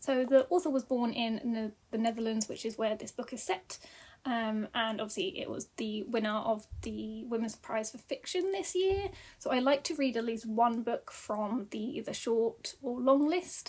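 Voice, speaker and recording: A woman's high voice, with ordinary pitch variation, moves along at a moderate pace. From UK. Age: 30s. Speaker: book reviewer. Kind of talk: casual chat. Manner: hesitant, many fillers.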